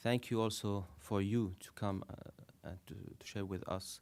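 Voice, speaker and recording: With a French accent, a man speaks in a fairly low pitch. His pace is fairly slow and his intonation fairly even. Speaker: panelist on Qatar foreign policy. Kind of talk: panel presentation. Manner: halting, many fillers.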